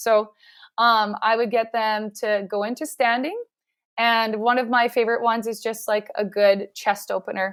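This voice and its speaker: A woman speaks with a Canadian accent at a moderate pace and a fairly high pitch. Her intonation is monotone and flat, on a very clean recording with a silent background. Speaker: physiotherapist. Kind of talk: interview.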